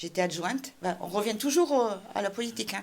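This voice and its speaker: A woman speaks at a moderate pace. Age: 60s. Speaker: local politician, municipal candidate. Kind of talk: interview. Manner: hesitant, many fillers.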